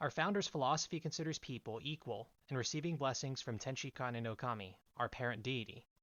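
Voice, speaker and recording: The speaker talks at a fairly quick pace with an American accent. It is an unremarkable speaking voice. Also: man. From US Northeast, coastal New Jersey. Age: 20s. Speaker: lay preacher. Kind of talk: sermon. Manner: formal.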